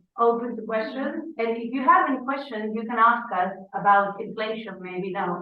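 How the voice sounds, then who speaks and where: With audible room echo and noticeable background noise, a woman speaks at a moderate pace, her pitch fairly high and its variation ordinary. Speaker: English teacher. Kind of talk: casual chat.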